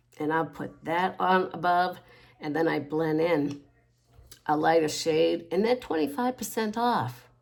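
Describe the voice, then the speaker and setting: With lively intonation, a plain, everyday voice talks at a fairly slow pace. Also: woman, fairly low pitch for a woman. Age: 60s. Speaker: makeup tutorial creator. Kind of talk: makeup tutorial. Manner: casual, rambling self-corrections.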